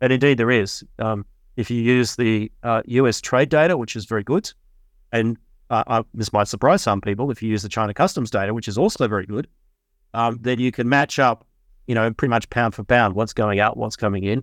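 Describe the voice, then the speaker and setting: Speaking at a fairly quick pace, a man uses an Australian accent at a medium pitch with ordinary pitch variation. The sound is dry and close with no echo, on a very clean recording with a silent background. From Melbourne, Australia. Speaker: investment fund founder, physicist. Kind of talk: interview.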